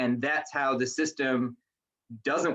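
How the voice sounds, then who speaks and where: A man is speaking at a moderate pace. His pitch is fairly high. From Newfoundland, Canada. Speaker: panelist, health coordinator. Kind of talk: panel discussion talk. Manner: loud.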